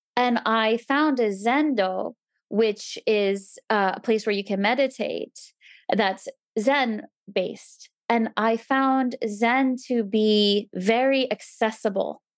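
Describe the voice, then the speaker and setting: A woman with a New Jersey accent speaks very slowly at a fairly high pitch, her intonation fairly even and her loudness very even. The recording is very clean with a silent background, and the sound is dry and close with no echo. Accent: American (New Jersey). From US East Coast, New Jersey. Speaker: temple resident, mother. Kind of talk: casual interview chat.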